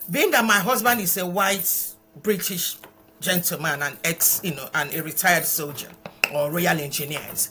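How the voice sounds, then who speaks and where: With music playing in the background, a woman with a Nigerian accent speaks at a moderate pace and a fairly low pitch. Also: lively intonation, big swings in loudness. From Nigeria, eastern (Imo State). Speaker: charity founder. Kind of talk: interview. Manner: hesitant, with repetitions.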